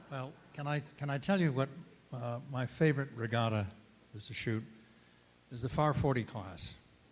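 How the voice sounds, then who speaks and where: A man with an American accent, medium pitch and a somewhat breathy voice, at a moderate pace with long, frequent pauses. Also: ordinary pitch variation. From Massachusetts. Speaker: sailing photographer. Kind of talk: panel discussion.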